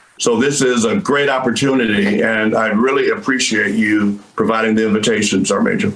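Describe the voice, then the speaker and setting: A man at medium pitch talks at a fairly quick pace with very even loudness and fairly even intonation over noticeable background noise. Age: 60s. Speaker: retired army colonel, professor. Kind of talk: interview.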